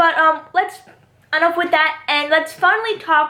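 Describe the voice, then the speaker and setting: A woman talks in a raised, projected voice, extremely high-pitched, with a bright, sharp tone. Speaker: youtuber, TV show commentator. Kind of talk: casual vlog commentary. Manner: fast; repeats herself, stumbling.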